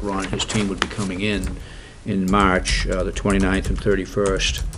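The speaking pace is fairly slow. Noticeable background noise runs underneath. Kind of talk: meeting report. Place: meeting room. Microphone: podium.

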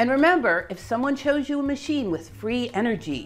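Faint music plays in the background as a woman with a high pitch speaks at a moderate pace. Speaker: educational video host. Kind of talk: explainer commentary. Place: home room.

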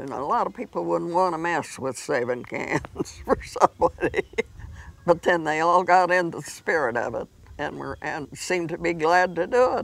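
Speaking with a Midwestern US accent, a woman with a fairly low pitch and vocal fry talks at a moderate pace with lively intonation and big swings in loudness, in a dry sound with no echo. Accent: rural Midwestern American. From Kansas, USA. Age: 80s+. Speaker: retired community fundraiser. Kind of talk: interview answer. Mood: contented, gentle. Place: garden.

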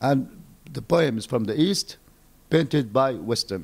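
At a fairly slow pace, a man with an Arabic accent speaks with very wide pitch swings. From Palestine. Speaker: poet and novelist; poet. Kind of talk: interview. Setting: embassy. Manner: halting. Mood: earnest, idealistic. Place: home room. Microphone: handheld.

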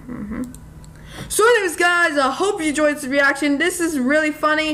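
The woman's voice is raised and projected. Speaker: reaction video creator. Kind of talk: casual vlog chat. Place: home room.

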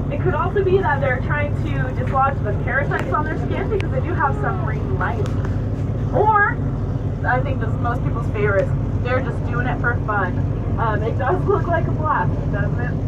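Loud background noise surrounds speech that moves at a moderate speed. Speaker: whale-watch tour guide. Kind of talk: guide commentary to passengers. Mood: upbeat, enthusiastic. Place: boat.

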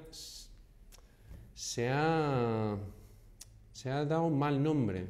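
With an American accent and a fairly high pitch, a man speaks amid audible room echo. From Houston, Texas. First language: English (speaking Spanish). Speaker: real estate agent. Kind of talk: vlog monologue. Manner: hesitant, many fillers.

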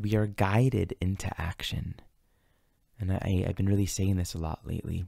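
A man speaks at a fairly low pitch with fairly even intonation, in a calm, gentle tone that is dark and mellow. The background is quiet and the sound is dry, with no echo. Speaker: astrology teacher and meditation guide. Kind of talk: guided meditation and spiritual teaching. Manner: calm, slow, gentle, reflective. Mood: calm, gentle, reflective. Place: home room. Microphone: studio mic.

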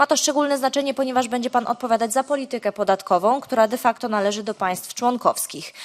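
A woman with a plain, everyday voice, fairly quick and fairly even, in a dry, close sound with no echo. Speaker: politician. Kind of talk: parliamentary question.

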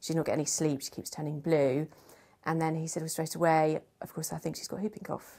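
A woman's low, slightly mellow voice at a fairly quick pace, with little pitch movement

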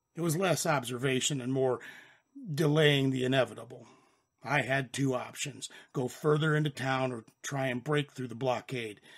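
A man's put-on character voice, raspy and of medium pitch, at a moderate pace with fairly even intonation. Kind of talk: first-person western narration. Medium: read story. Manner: wry, deadpan, sardonic.

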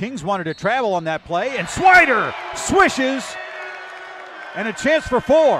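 Raising and projecting his voice, a man speaks at a fairly slow pace with an extremely high pitch and very wide pitch swings. The sound is dry with no echo, and music plays in the background. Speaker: basketball play-by-play announcer. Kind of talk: live basketball play-by-play commentary, rattling off names and actions. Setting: broadcast booth. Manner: bursts of excitement on big plays. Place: stadium. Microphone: headset.

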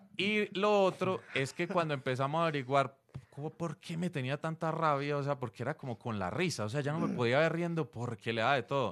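With lively intonation, a man moves along at a fairly quick pace. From Colombia. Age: 40s. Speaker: stand-up comedian. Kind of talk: casual interview. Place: studio. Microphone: studio mic.

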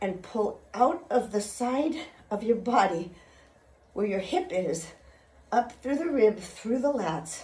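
Audible room echo and light background noise behind a female voice. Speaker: fitness instructor. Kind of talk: workout instruction. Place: home room. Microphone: phone near.

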